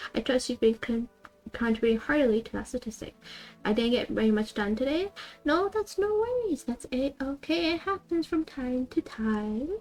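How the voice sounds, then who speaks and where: With music playing behind her, a soft-spoken woman talks at a moderate pace in a high pitch that makes very wide swings. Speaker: streamer. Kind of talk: live stream chat. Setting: live stream. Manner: soft ASMR-style voice.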